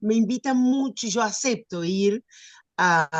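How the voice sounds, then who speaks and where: Very slowly and with lively intonation, a woman speaks in a dry, close sound with no echo. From Argentina. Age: 70s. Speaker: writer and retired teacher. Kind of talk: interview. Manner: halting, many fillers.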